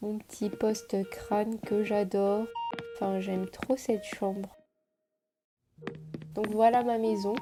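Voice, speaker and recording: Very slow woman's voice, fairly high in pitch, flat and monotone, with long, frequent pauses. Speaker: YouTuber. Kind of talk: gameplay commentary. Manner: casual.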